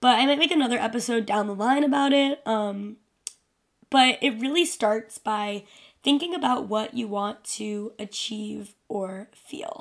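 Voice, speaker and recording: This woman has a normal speaking voice with a fairly high pitch. Her intonation is lively and her pace fairly slow. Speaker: podcast host. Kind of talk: solo casual monologue. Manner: casual, filler-heavy.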